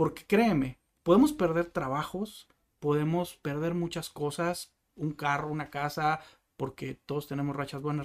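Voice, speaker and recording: A plain, everyday voice speaks at a fairly slow pace with fairly even intonation. The recording is very clean with a silent background. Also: man. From Mexico, northwest (Sonora/Baja California). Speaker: salesman. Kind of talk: interview.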